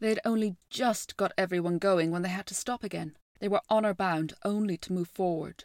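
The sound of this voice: What we hear is an unforced reading voice.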